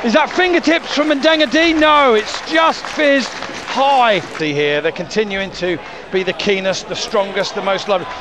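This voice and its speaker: A man is shouting with very wide pitch swings. Crowd noise fills the background, and the sound is dry with no echo. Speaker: football match commentator. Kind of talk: live football commentary, rapid play-by-play of passes and chances. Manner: excitable, bursts into shouts of 'Goal!' and 'Yeah! Oh!' at key moments; quick-fire clipped phrases with frequent 'uh' fillers and self-corrections. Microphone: headset.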